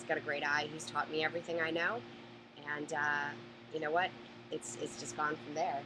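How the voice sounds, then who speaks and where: A woman with a Boston accent and a very deep, low pitch speaks at a fairly quick pace with fairly even intonation and long, frequent pauses, over noticeable background noise. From Boston area, Massachusetts. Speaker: storage auction buyer. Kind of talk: live Q&A. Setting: live stream.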